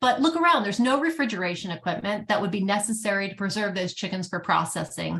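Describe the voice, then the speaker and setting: The delivery is very fast. Its intonation is lively. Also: woman. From US East Coast. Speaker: animal sanctuary founder. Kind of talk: conference presentation.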